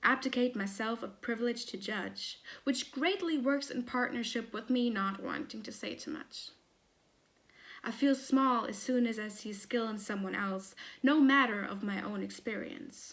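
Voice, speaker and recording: A woman's fairly high, unremarkable speaking voice at a moderate pace, with ordinary pitch variation and big swings in loudness. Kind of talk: poetry reading.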